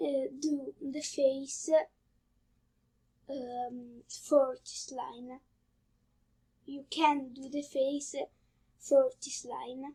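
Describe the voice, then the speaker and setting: With an Italian accent, a woman speaks at a very slow pace with long, frequent pauses, using a high, dark, mellow tone, ordinary pitch variation and big swings in loudness. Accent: Italian accent, non-native English. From Italy. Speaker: drawing tutorial youtuber. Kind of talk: tutorial. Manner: halting, many fillers.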